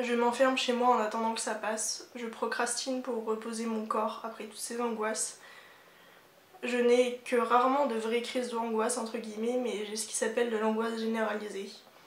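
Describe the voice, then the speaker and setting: A woman with a fairly high pitch speaks at a moderate pace in a monotone, flat intonation, with noticeable background noise behind her. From Normandy, France. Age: 20s. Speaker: architecture student. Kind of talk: reading a personal written text.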